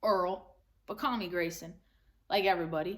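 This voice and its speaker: A woman puts on a gruff character voice at a medium pitch. She keeps a moderate pace and fairly even intonation. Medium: read story. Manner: gruff, terse, ungrammatical.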